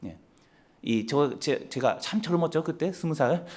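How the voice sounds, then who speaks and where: A man's fairly high voice carries lively intonation at a moderate speed. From Japan. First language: Japanese (speaking Korean). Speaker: missionary. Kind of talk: mission report talk in church. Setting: church. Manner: halting.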